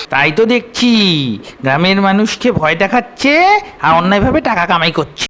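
A cartoonish character voice at a middle pitch and moderate pace, with light background noise

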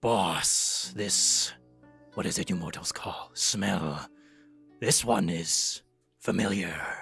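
With faint music in the background, a put-on character voice speaks at a fairly slow pace in a low pitch, with long, frequent pauses. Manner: halting, puzzled, hesitant.

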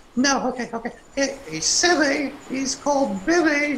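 A cartoonish character voice, high in pitch, speaks in an anxious tone. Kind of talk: children's puppet show. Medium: puppet show. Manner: anxious, chatty.

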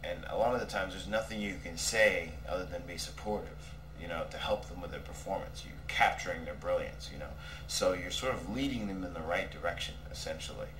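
Fairly quick male speech against noticeable background noise. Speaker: film director. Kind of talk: casual interview. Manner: halting, many fillers.

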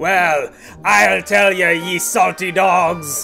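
Over clear background music, a man does a put-on character voice at a high pitch and a very slow pace. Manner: jovial.

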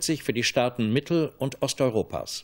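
Against a quiet background, a man speaks. His pace is moderate, with ordinary pitch variation. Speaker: television news anchor. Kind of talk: television news reading. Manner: formal, measured. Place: studio.

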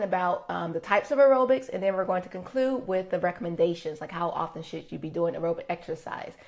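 Her delivery races along at a very fast pace. The woman's intonation stays lively throughout. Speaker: wellness host. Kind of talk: live broadcast talk. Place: home room. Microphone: phone near.

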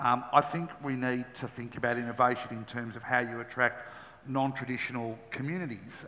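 A man talks with an Australian accent. His pace is fairly quick and his intonation fairly even. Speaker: former racing minister. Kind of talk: panel discussion. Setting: conference stage with audience. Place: stage. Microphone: headset.

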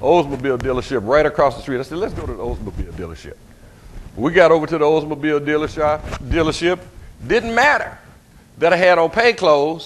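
A man with an American accent at a very fast pace, animated in tone, fairly high in pitch, with lively intonation, big swings in loudness and light background noise. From US South. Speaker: pastor. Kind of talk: sermon. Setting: church. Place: church.

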